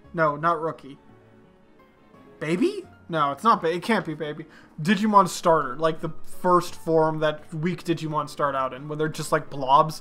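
With music in the background, the speaker keeps a moderate pace broken by long, frequent pauses. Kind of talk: casual talk to camera. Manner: rambling, casual.

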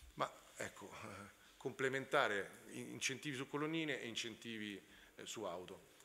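With a bright, sharp tone and vocal fry, a man speaks with ordinary pitch variation and long, frequent pauses. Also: moderate pace. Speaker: startup representative; panelist. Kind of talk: conference talk. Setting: stage with audience. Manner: halting. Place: hall. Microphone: podium.

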